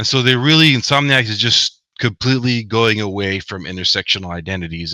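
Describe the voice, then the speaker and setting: A man talks at a fairly quick pace with fairly low pitch, ordinary pitch variation and a bright, sharp tone. The sound is dry and close with no echo, in a very clean recording with a silent background. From US, Mexican American family. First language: Spanish. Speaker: author and academic. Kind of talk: interview. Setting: livestream.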